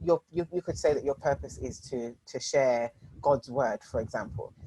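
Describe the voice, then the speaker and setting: This woman's very deep, low voice has a dark, mellow tone, vocal fry and lively intonation, moving at a moderate pace in a dry, close sound with no echo. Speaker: strategy and innovation coach. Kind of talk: workshop presentation.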